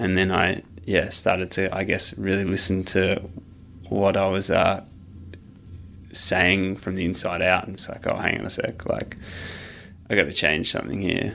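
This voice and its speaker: A man with an Australian accent, a very deep, low pitch, monotone, flat intonation, a moderate pace and long, frequent pauses. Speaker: trail runner. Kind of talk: casual interview conversation. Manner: halting, many fillers.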